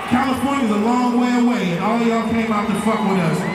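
Crowd noise fills the background as the speaker talks at a moderate pace amid audible room echo. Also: man. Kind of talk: stage banter to crowd. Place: stage.

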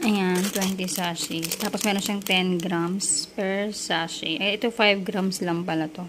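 Over noticeable background noise, a woman speaks very slowly with hardly any pauses and fairly even intonation. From Philippines. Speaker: vlogger. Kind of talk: product review. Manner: casual. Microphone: phone near.

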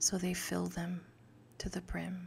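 Soft-spoken and gentle in tone, a woman talks at a fairly slow pace over light background noise. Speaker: ASMR creator praying the rosary. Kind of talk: rosary prayer and scripture reading, ASMR. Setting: close microphone, studio-like. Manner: soft-spoken, gentle. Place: home room. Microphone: studio mic.

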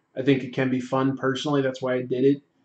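A man's flat, monotone voice at a fairly quick pace, with audible room echo over a quiet background. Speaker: comics artist and YouTuber live streaming a sketch; artist livestreamer. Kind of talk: casual livestream chat while drawing. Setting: home livestream. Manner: halting, many fillers. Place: home room.

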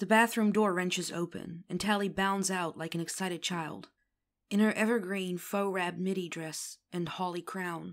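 A natural reading voice, with fairly even intonation, is heard against a quiet background.

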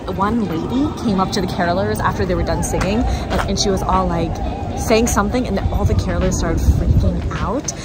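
Clear music plays in the background as a woman speaks at a fairly quick pace. The sound is dry with no echo. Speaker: travel vlogger. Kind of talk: casual vlog chat. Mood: excited, amused storytelling. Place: street. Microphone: phone near.

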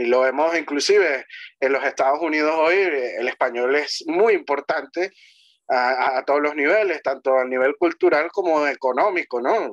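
Against a quiet background, a man with a plain, everyday voice speaks at a moderate pace, fairly high in pitch, with ordinary pitch variation and very even loudness. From Venezuela. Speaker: history commentator. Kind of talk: conversational interview on history and language. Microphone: video call.

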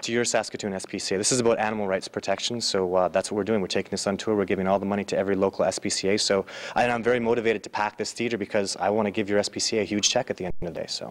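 Over a quiet background, a man with a fairly low voice talks at a very fast pace in a monotone, flat intonation. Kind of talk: interview answer. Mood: earnest, motivated. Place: hall. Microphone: handheld.

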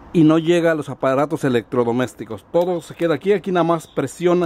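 This man has a high-pitched voice and talks at a fairly quick pace, with a dry sound and no echo. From Mexico, rural village. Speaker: YouTube DIY electronics presenter. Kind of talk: tutorial. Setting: home workshop. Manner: casual, halting with fillers. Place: workshop.

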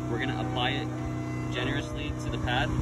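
There is clear music in the background. Over it, a man speaks fairly quickly. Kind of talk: tutorial. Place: street. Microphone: phone near.

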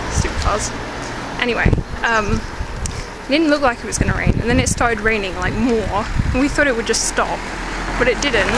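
Loud background noise surrounds a woman who takes long, frequent pauses, the sound dry with no echo. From England. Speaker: vlogger. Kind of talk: casual talk to camera. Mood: amused storytelling. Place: street. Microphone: phone near.

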